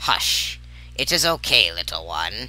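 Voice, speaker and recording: Speaking at a fairly slow pace, a man puts on a character voice. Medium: read story. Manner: speaks in rhyming couplets.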